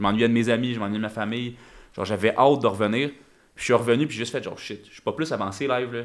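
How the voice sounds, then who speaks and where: Very fast speech in a Quebec accent, fairly even intonation, on a very clean recording with a silent background. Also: man. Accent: Québécois French. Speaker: crypto entrepreneur. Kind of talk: casual chat.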